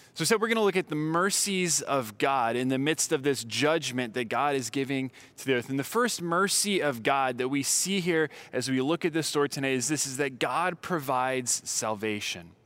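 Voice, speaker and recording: In a very clean recording with a silent background, a man with an unremarkable speaking voice talks at a moderate pace, with medium pitch and lively intonation. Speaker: preacher. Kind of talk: sermon with scripture reading. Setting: church. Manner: clear, formal expository delivery.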